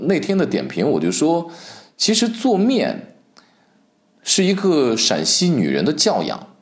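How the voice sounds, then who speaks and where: With audible room echo, this man speaks at a fairly slow pace. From Shaanxi, Guanzhong. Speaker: podcast host, food commentator. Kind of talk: solo podcast monologue.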